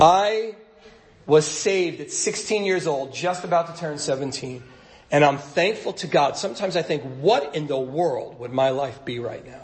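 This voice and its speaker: Amid noticeable background noise and audible room echo, a man speaks at a fairly slow pace with a fairly high pitch and ordinary pitch variation. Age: 50s. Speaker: pastor. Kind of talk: sermon. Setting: church stage at a podium.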